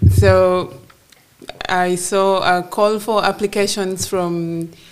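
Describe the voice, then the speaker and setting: A woman's fairly even intonation carries over noticeable background noise. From northern Uganda (Gulu). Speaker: agribusiness entrepreneur. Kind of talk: interview before live audience. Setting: office with live audience.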